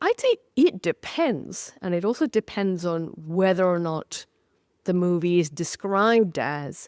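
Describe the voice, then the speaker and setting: With a British accent, a woman speaks at a fairly slow pace and a fairly low pitch, the sound dry and close with no echo. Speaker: historian of science and author. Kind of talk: interview conversation. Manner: halting, many fillers and repeats.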